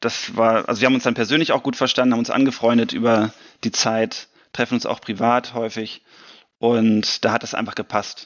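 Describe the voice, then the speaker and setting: A man is speaking at a medium pitch. He keeps a moderate pace. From Germany. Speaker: science fiction author. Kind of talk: interview answer. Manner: casual, enthusiastic.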